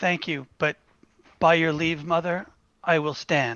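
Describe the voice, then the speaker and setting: At a fairly slow pace and a middle pitch, the speaker puts on a character voice. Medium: role play.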